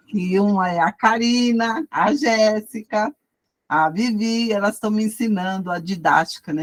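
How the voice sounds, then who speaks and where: Somewhat breathy, a woman speaks at a fairly slow pace with ordinary pitch variation in a dry, close sound with no echo. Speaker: Bible study teacher. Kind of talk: lecture. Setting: video call.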